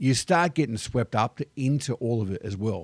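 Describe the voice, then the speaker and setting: Heard in a very clean recording with a silent background and a dry, close sound with no echo, a man with an Australian accent speaks at medium pitch and a moderate pace with ordinary pitch variation. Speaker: expat vlogger. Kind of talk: casual vlog monologue.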